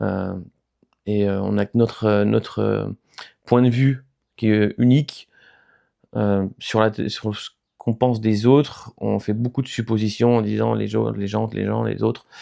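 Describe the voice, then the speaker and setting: A man talking at a fairly slow pace, with long, frequent pauses. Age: 30s. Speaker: YouTuber sharing mental health experience. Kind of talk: casual vlog monologue. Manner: hesitant, many fillers.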